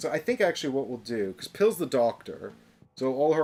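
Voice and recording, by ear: The voice reads aloud in a natural manner.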